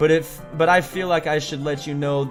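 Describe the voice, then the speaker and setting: The speaker goes at a moderate pace with ordinary pitch variation. Music plays in the background. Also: man. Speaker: gaming YouTuber. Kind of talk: reading game dialogue aloud.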